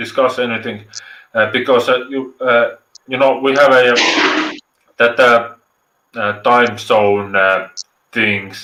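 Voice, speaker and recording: Slowly, with long, frequent pauses, a man with a medium pitch and an Estonian accent speaks in fairly even intonation. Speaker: live stream viewer joining. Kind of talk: casual chat. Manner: halting, many fillers.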